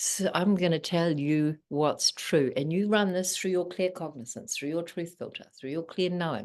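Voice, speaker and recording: Speaking with a New Zealand accent, a woman keeps a moderate pace. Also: ordinary pitch variation. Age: 60s. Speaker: spiritual teacher. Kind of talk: interview. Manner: animated.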